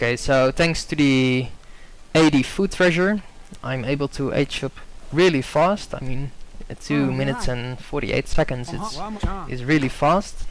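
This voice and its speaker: A man talks in a fairly high voice at a moderate pace, in a Dutch accent with ordinary pitch variation. His speech has long, frequent pauses. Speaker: video game commentator. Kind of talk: gameplay commentary. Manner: hesitant, many fillers.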